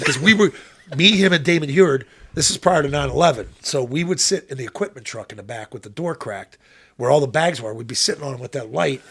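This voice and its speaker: A man speaks very fast at a fairly high pitch. His intonation is lively, and his loudness swings widely. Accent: Pittsburgh. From Pittsburgh, Pennsylvania. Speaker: former football quarterback and radio analyst. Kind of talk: casual chat. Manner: interjects quietly.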